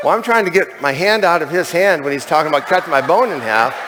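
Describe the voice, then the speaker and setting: A man races along very fast, his pitch varying in an ordinary way, with noticeable background noise behind him. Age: 60s. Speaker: convention speaker, chimney sweep turned network marketer. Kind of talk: testimony. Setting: stage with audience. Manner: conversational, with fillers.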